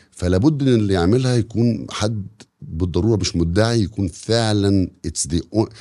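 In a very clean recording with a silent background, a man speaks at a moderate pace with a fairly low pitch, ordinary pitch variation and a dark, mellow tone. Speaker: podcast host. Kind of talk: casual interview chat.

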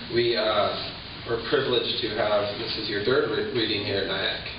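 A man talks fairly slowly amid noticeable background noise and audible room echo. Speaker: professor. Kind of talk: event introduction. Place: hall. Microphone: camera far.

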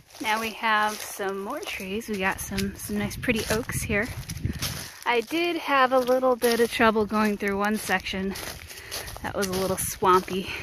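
A woman's fairly slow speech with ordinary pitch variation, dry with no echo, over noticeable background noise. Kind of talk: casual vlog chat. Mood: relaxed, good-humoured. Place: forest. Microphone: phone near.

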